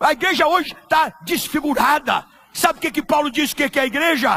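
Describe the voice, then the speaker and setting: Raising and projecting his voice, a man speaks at an extremely high pitch and a moderate pace. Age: 70s. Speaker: pastor. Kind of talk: sermon. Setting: church. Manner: animated.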